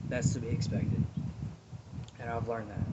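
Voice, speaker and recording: A man mumbles his words. Noticeable background noise runs behind him. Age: 30s. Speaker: vlogger. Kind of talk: personal vlog, advice and life story. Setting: outdoors. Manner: mumbling; loud.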